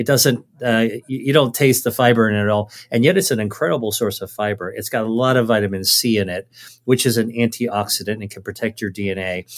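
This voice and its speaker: A man with an American accent and a normal speaking voice, medium-pitched, at a fairly quick pace with hardly any pauses, ordinary pitch variation, and a very clean recording against a silent background. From United States, Chinese American family. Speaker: physician and author. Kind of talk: interview conversation.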